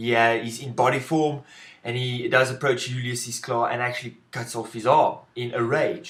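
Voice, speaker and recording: At a moderate pace, a man with a South African accent speaks at a medium pitch. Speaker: film reviewer. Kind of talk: video review monologue. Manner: halting, with self-corrections.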